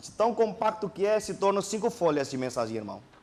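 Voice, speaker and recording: A man speaks with a non-native accent. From Indonesia. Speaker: pastor. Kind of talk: sermon. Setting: church.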